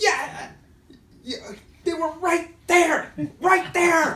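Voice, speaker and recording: A guttural, put-on character voice comes through at an extremely high pitch. The delivery is very slow. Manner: angry, scolding.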